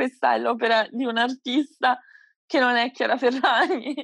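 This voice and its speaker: Her high-pitched voice, with ordinary pitch variation, comes at a fairly slow pace, and the woman's sound is dry and close with no echo. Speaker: podcast co-host. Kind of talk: casual chat.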